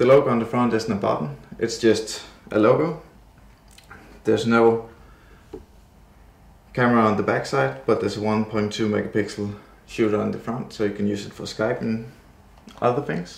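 A man with a non-native accent speaks at a moderate pace with ordinary pitch variation. He leaves long, frequent pauses, and the room echo is audible. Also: medium pitch for a man. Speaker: tech reviewer. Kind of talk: product unboxing narration. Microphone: phone near.

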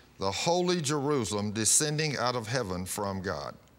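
Speaking at a fairly slow pace, a man uses a bright, sharp tone with very wide pitch swings. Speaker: pastor. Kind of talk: sermon. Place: studio. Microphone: lapel.

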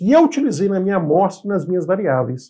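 A man's voice sits high in pitch yet carries a dark, mellow tone. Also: quiet background. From Brazil. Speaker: engineering instructor, property appraiser; engineering instructor. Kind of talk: educational video lecture. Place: home room. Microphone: lapel.

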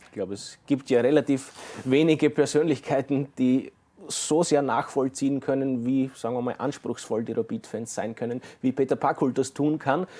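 Dark, mellow in tone, a man speaks at a moderate pace with fairly even intonation. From Austria. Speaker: sports TV presenter; TV sports host. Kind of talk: studio interview. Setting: studio. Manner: formal, eloquent. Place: studio. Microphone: lapel.

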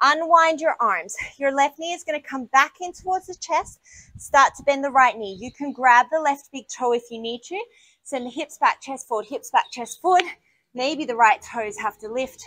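A woman's raised, projected voice, high and bright with a sharp tone, lively in intonation at a moderate pace, with big swings in loudness. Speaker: yoga instructor. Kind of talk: guided yoga class, cueing poses and breathing. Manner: brisk, clipped, directive cues in a steady, energetic instructor rhythm; warm and encouraging, with a casual, self-deprecating tone in the intro.

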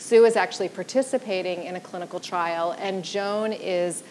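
A woman's voice with ordinary pitch variation over light background noise. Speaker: panel moderator. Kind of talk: event introduction. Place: stage. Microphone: lapel.

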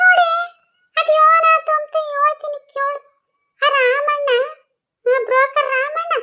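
A woman in a cartoonish character voice at a fairly slow pace. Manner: rambling, rustic dialect.

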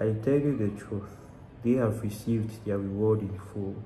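Monotone, flat intonation comes from a man with a fairly low pitch, amid light background noise and audible room echo. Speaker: Bible reader. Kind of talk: Bible reading. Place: home room. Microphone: phone near.

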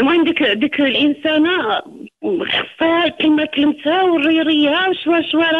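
A woman's extremely high-pitched voice with fairly even intonation over noticeable background noise. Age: 40s. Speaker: caller. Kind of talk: personal testimony. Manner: halting.

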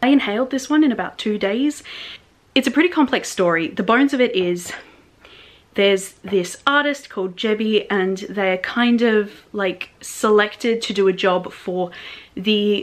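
A woman with an Australian accent talks at a moderate pace. Her pitch is fairly high, with ordinary pitch variation. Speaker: book reviewer. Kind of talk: casual talk to camera. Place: home room.

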